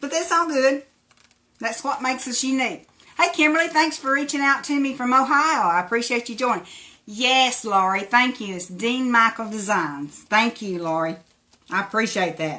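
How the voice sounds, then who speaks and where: Speaking in an Appalachian accent at a moderate pace, a woman uses a high pitch with very wide pitch swings. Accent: Appalachian hillbilly. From Tennessee. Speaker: crafter. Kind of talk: live craft tutorial. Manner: casual, chatty.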